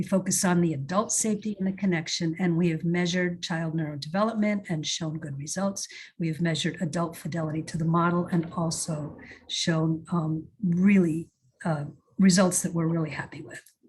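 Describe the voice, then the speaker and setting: This woman's voice is fairly low-pitched and somewhat breathy. She keeps a fairly quick pace and fairly even intonation. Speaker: early childhood program presenter. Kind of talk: webinar presentation.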